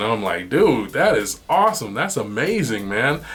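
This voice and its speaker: With noticeable background noise behind him, a man with a fairly low pitch speaks in an animated tone at a fairly quick pace. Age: 40s. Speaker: podcast host. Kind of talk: casual chat. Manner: halting.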